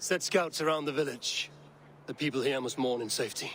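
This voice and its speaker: Raspy and fairly high-pitched, a man puts on a character voice at a fairly quick pace. Background noise is clearly present. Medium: video game. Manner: measured, solemn.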